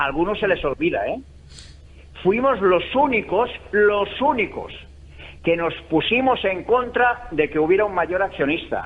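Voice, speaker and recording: A man with a high pitch and lively intonation speaks at a fairly slow pace, leaving long, frequent pauses. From Valencia, Spain. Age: 70s. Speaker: football supporters' association president. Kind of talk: radio interview. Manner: animated.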